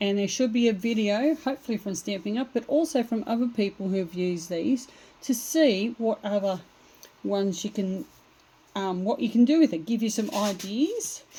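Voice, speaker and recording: A woman's fairly high, somewhat breathy voice has a dark, mellow tone and lively intonation. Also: moderate pace. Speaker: craft demonstrator. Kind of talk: tutorial. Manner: casual, hesitant with fillers.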